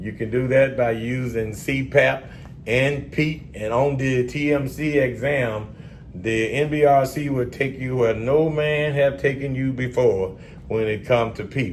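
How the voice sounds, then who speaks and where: Speaking in a Southern US accent, a man shows big swings in loudness. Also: medium pitch for a man, moderate pace. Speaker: respiratory therapy exam tutor. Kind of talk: educational lecture at whiteboard. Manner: casual, energetic.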